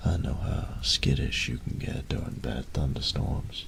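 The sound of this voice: A man does a put-on character voice at an extremely low pitch, with vocal fry and ordinary pitch variation. He speaks at a fairly slow pace over clear background noise.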